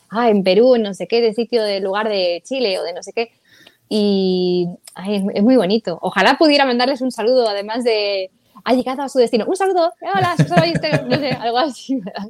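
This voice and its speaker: A woman speaks at a moderate pace. Her voice is fairly high, with lively intonation. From Spain, Madrid. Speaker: voice actor and singer. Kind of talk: interview.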